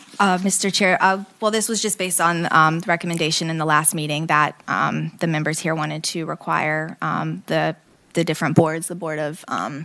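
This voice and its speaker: With a bright, sharp tone and vocal fry, a woman speaks fairly quickly at a fairly low pitch with fairly even intonation. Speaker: committee staff presenter. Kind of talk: legislative committee briefing. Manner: quiet.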